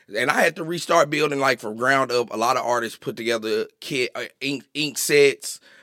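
A man's bright, sharp, medium-pitched voice moves at a moderate pace with ordinary pitch variation, recorded very cleanly against a silent background in a dry, close sound with no echo. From Arkansas, Little Rock. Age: 30s. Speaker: tattoo artist and shop owner. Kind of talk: casual chat. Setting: studio.

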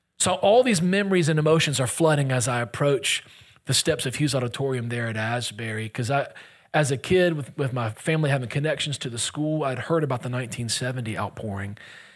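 A man with an American accent, very fast delivery and ordinary pitch variation. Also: medium pitch for a man. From US Gulf Coast. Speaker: guest pastor. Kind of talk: sermon. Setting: church, stage with audience.

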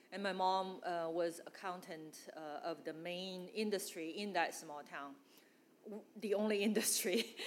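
A woman with a Chinese accent speaks at a fairly slow pace, with a medium pitch and fairly even intonation. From northeast China. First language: Mandarin. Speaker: church member. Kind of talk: testimony. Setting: church gathering with audience.

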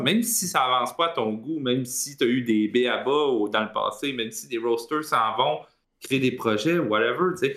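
A man with a Quebec accent, medium pitch, lively intonation, and a moderate pace. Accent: Québécois French. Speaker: esports panelist. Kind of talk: casual chat.

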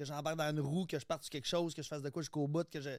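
In a Quebec accent, a man with a fairly high pitch talks at a very fast pace in a monotone, flat intonation, recorded very cleanly against a silent background. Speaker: guest, former reality TV contestant. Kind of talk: casual chat.

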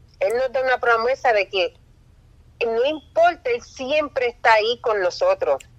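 A woman's high pitch with ordinary variation, at a fairly slow pace. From Puerto Rico. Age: 40s. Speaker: nurse. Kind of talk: testimony.

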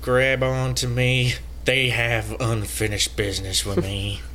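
Over clear background noise, a man uses a put-on character voice, fairly low in pitch and fairly slow in pace. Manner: sincere, dramatic.

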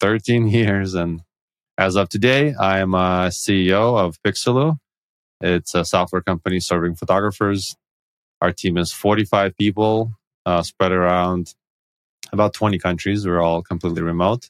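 A man with a very deep, low pitch talks at a moderate pace with fairly even intonation. The recording is very clean, with a silent background and a dry, close sound with no echo. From former Soviet Union. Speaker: tech company CEO. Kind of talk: casual podcast interview.

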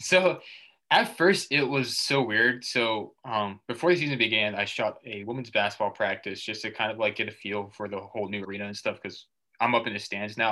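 With an American accent, a plain, everyday voice shows ordinary pitch variation over a quiet background. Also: man, fairly low pitch for a man. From Massachusetts. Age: 20s. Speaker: student sports photographer. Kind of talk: casual interview.

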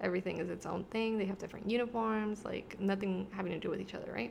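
She is a woman with an American accent and a medium pitch. Her voice carries vocal fry and ordinary pitch variation. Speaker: podcast host. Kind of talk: casual chat. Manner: filler-heavy, hesitant.

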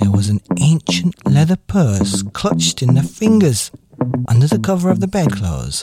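Someone reads in a natural reading voice.

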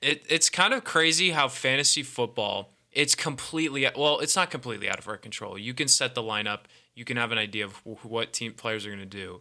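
A man with an American accent talks at a fairly quick pace with lively intonation and a medium pitch, in a plain, everyday voice. The recording is very clean, with a silent background. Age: 20s. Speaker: college radio sports host. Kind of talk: casual sports talk. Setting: studio.

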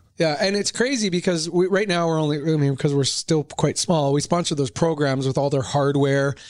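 A man at a fairly high pitch and fairly quick pace, with ordinary pitch variation, hardly any pauses and very even loudness, on a very clean recording with a silent background. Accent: Western Canadian. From Canada, Whistler BC. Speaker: real estate developer executive. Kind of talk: interview. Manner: animated.

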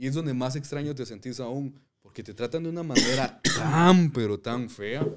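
At a moderate pace, a man speaks with ordinary pitch variation and big swings in loudness. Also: medium pitch for a man. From Guatemala, Zacapa. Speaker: podcast co-host. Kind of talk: casual chat.

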